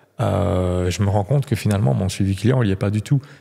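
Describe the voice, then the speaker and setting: The tone is dark and mellow, with vocal fry. The background is quiet. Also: man. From Belgium. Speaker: real estate coach, former agency manager; real estate coach. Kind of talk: casual interview. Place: studio. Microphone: studio mic.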